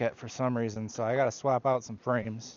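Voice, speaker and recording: Here a man speaks at a fairly quick pace. His pitch is medium. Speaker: beekeeper and farmer vlogger. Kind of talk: casual vlog narration while working. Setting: outdoors at bee yard. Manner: fast.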